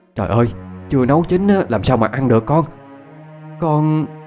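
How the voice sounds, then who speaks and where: Over music in the background, a man does a put-on character voice that is shaky, with medium pitch, lively intonation and a moderate pace. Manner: trembling, shaken.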